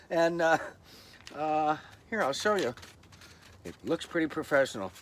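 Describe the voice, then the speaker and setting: Speaking at a fairly quick pace, a man with a fairly high pitch shows vocal fry. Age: old. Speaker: vlogger. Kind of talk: casual vlog monologue. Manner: hesitant, many fillers.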